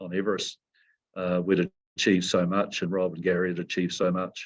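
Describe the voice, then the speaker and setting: A man's very deep, low voice with a New Zealand accent, monotone and flat, at a fairly quick pace. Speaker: mountain guide and company CEO. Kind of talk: interview.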